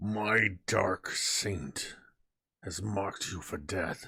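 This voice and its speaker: A man puts on a character voice, raspy and very deep, low in pitch. He speaks at a very slow pace. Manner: threatening, gritted teeth.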